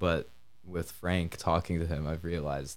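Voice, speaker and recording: A very deep, low male voice with an Upper Midwest accent, moderate pace and fairly even intonation, over music in the background. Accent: Upper Midwest American. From Michigan, Kalamazoo. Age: 20s. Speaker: college student. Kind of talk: casual interview.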